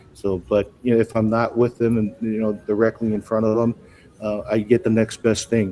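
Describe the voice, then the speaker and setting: With a dark, mellow tone, a man talks in a fairly low pitch and a monotone, flat intonation. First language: not English. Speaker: school technology director. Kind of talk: live show interview. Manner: halting, many repetitions.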